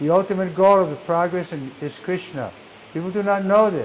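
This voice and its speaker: A man talking at a fairly quick pace, with audible room echo and noticeable background noise. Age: 80s+. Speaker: monk lecturer. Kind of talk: religious lecture.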